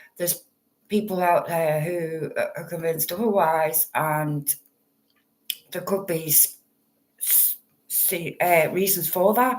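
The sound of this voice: A woman speaks at a fairly low pitch with ordinary pitch variation. Her slow pace includes long, frequent pauses, with audible room echo.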